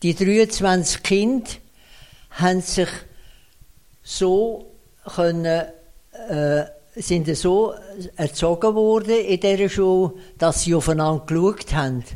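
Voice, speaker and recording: Very slowly and with long, frequent pauses, a man with an Aargau accent speaks at a high pitch, with ordinary pitch variation and very even loudness. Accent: Swiss German, Aargau dialect. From Switzerland, canton Aargau. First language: Swiss German (speaking German). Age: 90s. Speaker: retired municipal finance administrator. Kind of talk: interview. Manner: halting.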